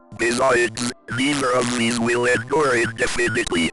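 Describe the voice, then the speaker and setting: Using a put-on character voice at a medium pitch, a man talks at a moderate pace as faint music plays in the background. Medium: solo performance. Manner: detached, skeptical.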